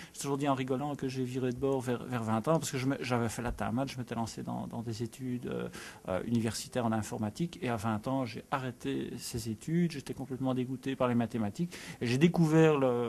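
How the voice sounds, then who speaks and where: Fairly quick in pace, a man talks at a medium pitch with ordinary pitch variation. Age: 40s. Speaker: spelling competition enthusiast. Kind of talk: interview. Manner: halting.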